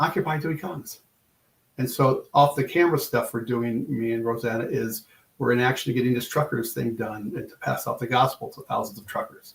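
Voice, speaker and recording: Here a man with a medium pitch and ordinary pitch variation talks at a fairly quick pace. He sounds somewhat breathy, and his loudness swings a lot. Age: 60s. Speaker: podcast guest, evangelist and farmer. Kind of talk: casual chat. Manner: animated.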